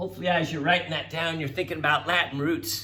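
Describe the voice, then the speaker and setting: Audible room echo surrounds a voice with a bright, sharp tone. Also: man. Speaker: teacher. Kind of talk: recorded classroom lecture.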